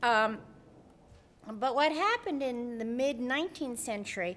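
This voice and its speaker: Speaking at a moderate pace, a woman with an American accent uses a normal speaking voice with ordinary pitch variation. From US Northeast. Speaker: nursing professor. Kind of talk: conference presentation.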